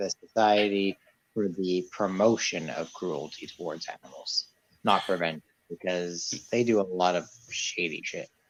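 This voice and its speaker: A man with an American accent speaks at a moderate pace in a fairly low pitch, with ordinary pitch variation. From Quebec, Canada (anglophone). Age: 30s. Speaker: reptile and tarantula keeper. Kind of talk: casual chat.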